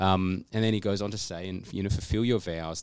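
An Australian accent from a man with a very deep, low pitch and a fairly quick pace. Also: very clean recording, silent background. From Australia, Canberra. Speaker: trainee church planter. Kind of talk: podcast interview. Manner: halting.

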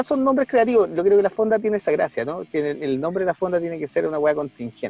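Speaking with a Chilean accent, a man has a dark, mellow tone and very wide pitch swings in a dry, close sound with no echo. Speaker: podcast co-host, teacher. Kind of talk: casual chat. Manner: animated.

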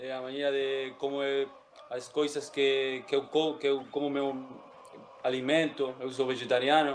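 Speaking in a Spanish accent, a man uses a fairly high pitch. His intonation is monotone and flat, and his pace fairly slow. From Uruguay, Montevideo. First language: Spanish (speaking Portuguese). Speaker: former footballer. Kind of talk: casual interview. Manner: halting.

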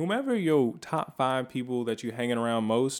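A man with an American accent and a normal speaking voice, medium pitch, moderate pace, in a very clean recording with a silent background. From California. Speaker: podcast co-host. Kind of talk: casual chat. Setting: home studio.

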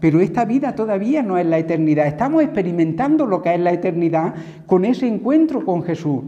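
Speaking at a fairly quick pace, a man with a high pitch uses lively intonation, with audible room echo. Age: 60s. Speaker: preacher. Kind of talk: sermon.

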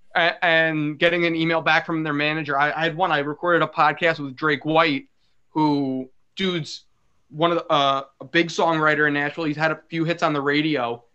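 This man speaks in a fairly high pitch with an American accent. His intonation is monotone and flat. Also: moderate pace. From New York. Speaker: podcast host. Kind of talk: casual chat.

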